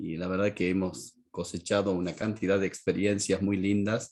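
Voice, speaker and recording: With an Argentine accent, a man talks at a moderate pace in a fairly low pitch. His intonation is monotone and flat. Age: 60s. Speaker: pastor and teacher. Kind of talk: lecture.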